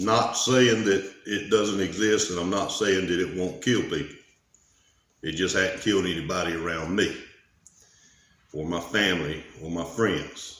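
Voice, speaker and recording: A man with a Southern US accent speaks at a fairly slow pace in a very deep, low pitch, with fairly even intonation and long, frequent pauses. Audible room echo surrounds his voice. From US South. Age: 40s. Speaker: vlogger. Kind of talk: personal vlog monologue. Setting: garage. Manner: casual.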